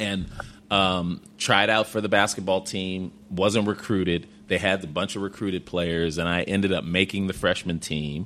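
Bright and sharp in tone, a man with an American accent speaks at a very deep, low pitch with fairly even intonation. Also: moderate pace. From Chicago South Side. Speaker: former basketball coach. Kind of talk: interview.

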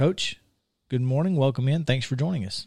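On a very clean recording with a silent background, a man talks in a Southern US accent. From Alabama. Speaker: sports radio host. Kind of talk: casual chat. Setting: studio.

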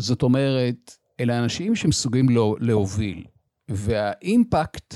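Speaking at a very slow pace, a man with a medium pitch and ordinary pitch variation has a dark, mellow tone, heard in a dry, close sound with no echo. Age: 60s. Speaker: business coach and podcast host. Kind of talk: solo podcast monologue.

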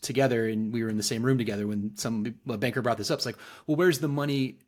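In a very clean recording with a silent background, a man speaks at a very fast pace with an American accent. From US South, Northwest Arkansas (Fayetteville). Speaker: payments industry executive. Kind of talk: podcast interview.

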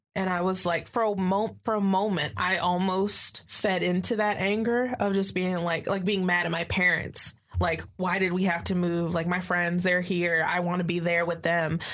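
With an American accent, a woman with a fairly low pitch talks at a moderate pace with hardly any pauses, fairly even intonation, and very even loudness, over noticeable background noise. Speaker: college student. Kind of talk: casual chat.

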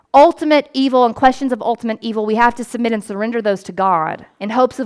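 The speaker is a woman with a fairly high pitch and lively intonation. She talks at a very fast pace. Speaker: priest and pastor. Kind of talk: sermon. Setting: church.

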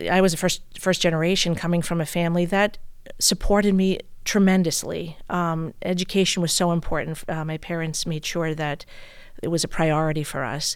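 On a very clean recording with a silent background, a woman uses an ordinary speaking voice, fairly low in pitch, with fairly even intonation at a fairly quick pace. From US Northeast, Brooklyn, New York. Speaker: bank executive. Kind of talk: casual interview. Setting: studio.

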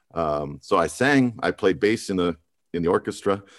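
A man with an American accent talks at a moderate pace with lively intonation. His is an unremarkable speaking voice. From Montana, US. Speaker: musical theater performer. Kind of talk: interview.

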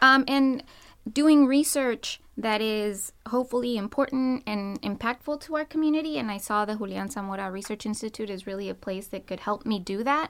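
An unremarkable speaking voice from a woman with an American accent, fairly high in pitch, at a moderate pace with ordinary pitch variation. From US-Mexico border. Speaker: assistant professor. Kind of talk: panel discussion.

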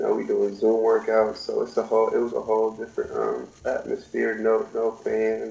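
An American accent with hardly any pauses, over noticeable background noise. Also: man, moderate pace. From California. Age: 20s. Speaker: college basketball player. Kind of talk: interview.

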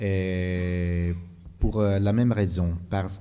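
A man's very deep, low voice with a dark, mellow tone, at a very slow pace, with audible room echo. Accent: Italian. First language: Italian (speaking French). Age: 50s. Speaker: geography professor and writer. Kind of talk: panel discussion. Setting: live venue with audience. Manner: halting.

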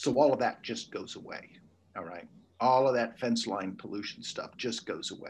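Talking at a moderate pace, a man speaks with big swings in loudness. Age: 60s. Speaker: ecology professor. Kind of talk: interview.

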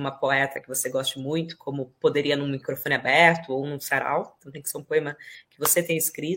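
Talking at a fairly quick pace, a woman uses ordinary pitch variation. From Brazil, interior of São Paulo state (Ribeirão Preto). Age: 30s. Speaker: poet and actress. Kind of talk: interview.

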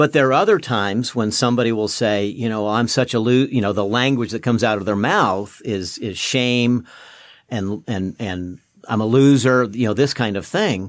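An ordinary speaking voice from a man, at a moderate pace with ordinary pitch variation. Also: medium pitch for a man. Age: 60s. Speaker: pastor. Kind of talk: casual chat.

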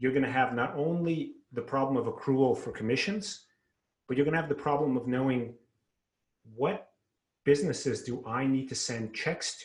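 Somewhat breathy speech at a moderate pace with ordinary pitch variation and long, frequent pauses. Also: man, fairly high pitch for a man. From Russia. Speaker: salesperson. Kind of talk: sales pitch.

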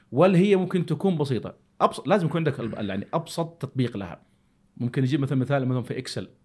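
A man's fairly high voice, very fast and somewhat breathy, with lively intonation. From Saudi Arabia. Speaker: podcast host. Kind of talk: casual chat.

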